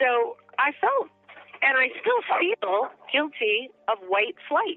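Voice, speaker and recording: A woman's high-pitched voice at a very slow pace, with very wide pitch swings and music in the background. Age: under 40. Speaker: former Baltimore resident interviewed. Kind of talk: personal testimony.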